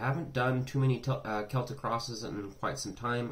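A man talks at a very fast pace, somewhat breathy, with ordinary pitch variation. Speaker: tarot reader. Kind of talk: casual reading intro. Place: home room. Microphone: phone near.

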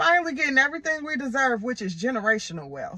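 Projecting a raised voice, a woman speaks at a high pitch in an animated tone with very wide pitch swings. The sound is dry with no echo, over a quiet background. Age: 30s. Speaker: tarot reader. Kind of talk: tarot reading video. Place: car. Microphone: phone near.

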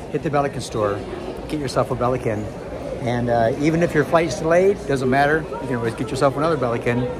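Over crowd noise in the background, a man talks with ordinary pitch variation. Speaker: travel vlogger. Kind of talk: casual vlog chat. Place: hall. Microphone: phone near.

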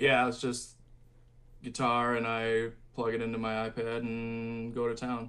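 A man with an American accent talks at a fairly slow pace and medium pitch in a monotone, flat delivery. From Michigan. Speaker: metal musician; guest. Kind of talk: casual interview. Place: home room. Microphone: video call.

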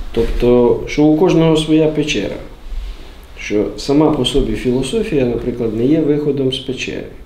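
Audible room echo surrounds a man who speaks at a moderate pace with a fairly high pitch and ordinary pitch variation. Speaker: philosophy expert. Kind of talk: group book discussion. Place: meeting room. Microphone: camera far.

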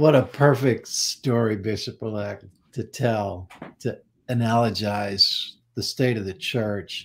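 A somewhat breathy man with an American accent at a very slow pace, ordinary pitch variation, and light background noise. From US. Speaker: denomination leader, minister; minister. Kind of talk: panel discussion. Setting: video call. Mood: earnest, reflective. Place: home room.

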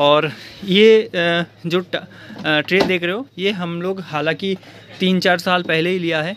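Noticeable background noise sits behind a man with a high pitch and fairly even intonation speaking at a fairly slow pace, with a dry sound and no echo. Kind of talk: casual vlog chat. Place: shop. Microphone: phone near.

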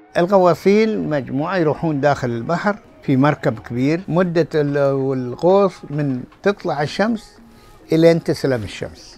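A man talks at a fairly slow pace with lively intonation. Faint music plays behind him. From Qatar. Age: 80s+. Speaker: former pearl diver and bodybuilder. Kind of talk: interview answer. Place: shop.

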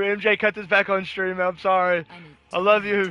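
A man with an American accent projects a raised, high-pitched voice with a bright, sharp tone and monotone, flat intonation. The sound is dry with no echo. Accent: faint country. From Southeast Missouri, US. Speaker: gaming streamer. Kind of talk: casual gameplay chat. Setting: live stream. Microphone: headset.

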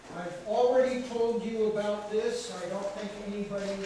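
A man talks at a high pitch with fairly even intonation. There is strong room echo and light background noise. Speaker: speaker. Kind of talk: lecture. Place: hall. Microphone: camera far.

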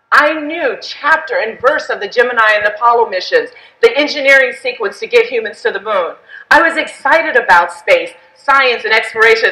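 Her voice raised and projected, a woman speaks at a fairly quick pace. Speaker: speaker. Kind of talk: keynote speech. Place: hall. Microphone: headset.

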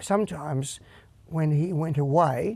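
A man with an Australian accent, dark, mellow tone and fairly even intonation, in a dry sound with no echo. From Australia, Perth. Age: 60s. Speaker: singer and guitarist. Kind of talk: interview. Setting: studio. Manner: halting. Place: studio.

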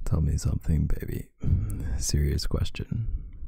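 A man speaks at a very slow pace in a very deep, low voice with a dark, mellow tone. He sounds somewhat breathy, with lively intonation. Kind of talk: boyfriend roleplay audio. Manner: soft-spoken, whispered; sleepy.

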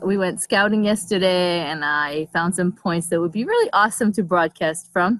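A woman's fairly low voice with ordinary pitch variation, dry with no echo, over a quiet background. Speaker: livestream host. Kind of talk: casual vlog chat. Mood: cheerful, relaxed. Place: open country. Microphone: phone near.

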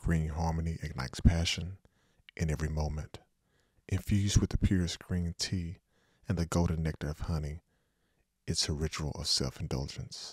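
A man's very deep, low voice at a moderate pace, somewhat breathy, fairly even intonation, long, frequent pauses, dry, close sound with no echo. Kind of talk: seductive commercial voice-over, parody-style ad read. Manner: smooth, polished, intimate ad-announcer delivery.

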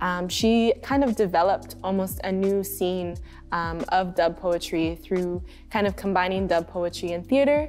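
Faint music sits in the background while a woman talks at a moderate pace with ordinary pitch variation. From Ontario, Canada. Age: 20s. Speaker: community organizer and DJ. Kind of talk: educational history presentation. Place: studio.

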